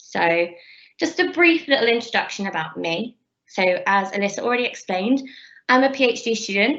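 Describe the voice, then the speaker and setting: A woman with a Bristolian accent speaks at a moderate pace in a bright, sharp, high voice with lively intonation. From England, Bristol. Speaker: PhD researcher. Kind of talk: lecture.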